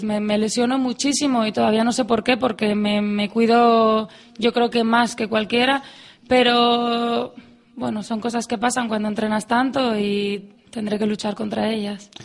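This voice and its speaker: At a fairly slow pace, an ordinary speaking voice comes through. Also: woman. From Asturias, Spain (Avilés). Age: 20s. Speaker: athlete. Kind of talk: radio interview.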